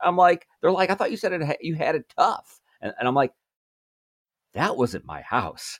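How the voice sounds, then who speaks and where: A man talks at a moderate pace in an American accent. The sound is dry and close, with no echo. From Chicago, US Midwest. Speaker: author and think tank fellow. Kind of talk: interview conversation. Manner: halting, many fillers and repeats.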